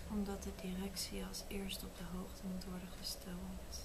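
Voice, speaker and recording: A soft-spoken woman talks at a fairly slow pace over noticeable background noise. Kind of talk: soft reading aloud of quiz questions. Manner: soft-spoken, quiet reading voice. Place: home room. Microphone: phone near.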